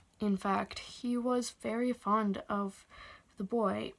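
The reading voice is unforced. Its intonation stays fairly even.

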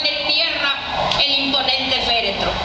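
A woman's voice comes through audible room echo and loud background noise. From Honduras. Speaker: poet. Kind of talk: poetry reading. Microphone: podium.

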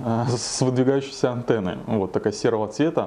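His tone is dark and mellow. The man's intonation remains fairly even throughout. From Krasnodar Krai, southern Russia. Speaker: bodybuilder and fitness blogger. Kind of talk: interview, personal storytelling. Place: kitchen.

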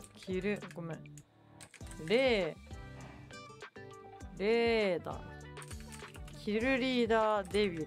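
A woman speaks very slowly at medium pitch with ordinary pitch variation, long, frequent pauses and big swings in loudness. Music plays in the background. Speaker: virtual streamer. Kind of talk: casual live-stream talk.

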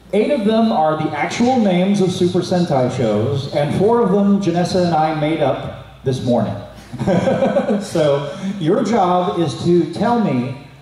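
There is audible room echo as a man talks at a fairly slow pace, his voice making very wide pitch swings. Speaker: game show host. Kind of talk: game show hosting, explaining rules. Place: hall.

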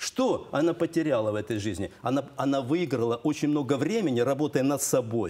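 A dark, mellow tone with lively intonation, a fairly quick pace, very even loudness, and hardly any pauses. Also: man, fairly high pitch for a man. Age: 60s. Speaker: father of a large family, homeschooling parent; talk show guest. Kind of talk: studio talk show debate. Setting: TV studio. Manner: animated. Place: studio.

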